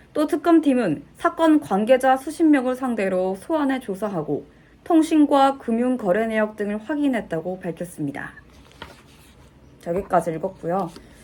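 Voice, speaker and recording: Over noticeable background noise, a woman with a fairly high pitch talks at a moderate pace, her pitch swinging very widely. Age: 20s. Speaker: aspiring news announcer. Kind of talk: news reading practice. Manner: formal.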